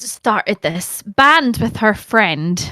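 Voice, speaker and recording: Her tone is bright and sharp, a woman speaking with a Scottish accent. The recording is very clean, dry and close with no echo, over a silent background. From Scotland. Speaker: actor and Twitch streamer. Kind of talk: casual chat. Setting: live-streamed podcast. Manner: animated.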